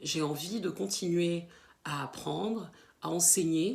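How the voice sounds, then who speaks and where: A woman speaks in a fairly low pitch. Her pitch shows ordinary variation. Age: 30s. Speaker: teacher. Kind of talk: self-introduction to camera. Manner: hesitant, many fillers and repeated words.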